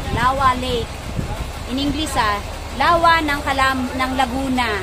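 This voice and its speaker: Over noticeable background noise, a woman speaks at a fairly slow pace in a raised, projected voice. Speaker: vlogger. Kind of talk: casual vlog chat. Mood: cheerful, excited. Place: boat. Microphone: phone near.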